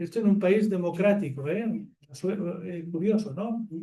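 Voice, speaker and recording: Heard with audible room echo, a man speaks at a high pitch and very slow pace, his dark, mellow tone carrying fairly even intonation. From Catalonia, Barcelona. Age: 70s. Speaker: nonviolence activist. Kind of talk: public talk. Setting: theatre with audience. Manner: conversational with fillers and restarts.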